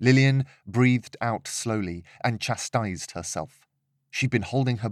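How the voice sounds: Pitch varies in an ordinary way in a natural reading voice. Nothing much sounds behind it.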